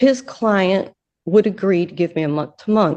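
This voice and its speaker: Her pitch rises and falls in an ordinary way as this woman talks. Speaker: defendant in court. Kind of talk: courtroom statement.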